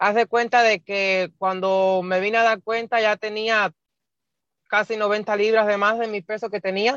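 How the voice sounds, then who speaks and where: Flat and monotone, the woman's voice holds a medium pitch. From Cuba. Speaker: bariatric surgery patient. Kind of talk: interview. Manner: halting.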